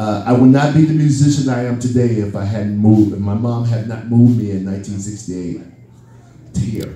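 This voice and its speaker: Audible room echo surrounds this recording. A man talks at a fairly quick pace with a fairly low pitch. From US Midwest, Chicago West Side, raised in Minneapolis. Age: 60s. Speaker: musician, drummer. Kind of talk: Q&A storytelling. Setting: party event with audience. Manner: animated.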